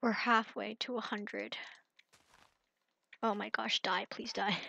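A woman's voice, dry and close with no echo, over a quiet background. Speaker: gaming youtuber. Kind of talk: gameplay commentary. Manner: subdued, less enthusiastic.

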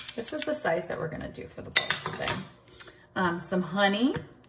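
Loud background noise beneath a woman's moderately paced speech. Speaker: home cooking vlogger. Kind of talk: casual cooking tutorial. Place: kitchen. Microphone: phone near.

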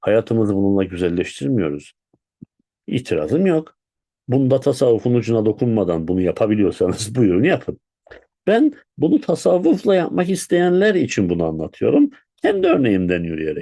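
Talking at a moderate pace, a man with a medium pitch shows very wide pitch swings. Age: 50s. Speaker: Sufi spiritual teacher. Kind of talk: spiritual talk.

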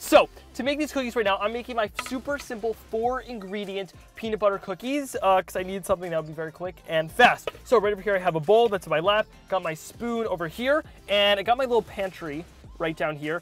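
A fairly quick pace in a dry sound with no echo, faint music in the background. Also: man. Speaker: cooking video host. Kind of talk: casual vlog chat. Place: car. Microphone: lapel.

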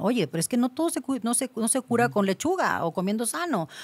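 The speaker is a woman. Her pitch swings very widely. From Mexico, Cancún; Mexico. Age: 30s. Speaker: gynecologist; guest. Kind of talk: interview. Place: studio. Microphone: studio mic.

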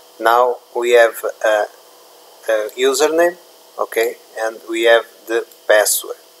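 A man with a Portuguese accent at a very slow pace, with long, frequent pauses and noticeable background noise. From Portugal. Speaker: tech YouTuber. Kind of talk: tutorial. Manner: halting, many fillers.

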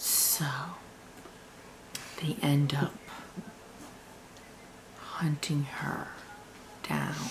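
A woman speaks very slowly with a very deep, low pitch and fairly even intonation. Light background noise is present. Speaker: vlogger. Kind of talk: casual storytelling to camera, vlog. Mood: spooky hushed storytelling. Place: home room. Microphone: webcam.

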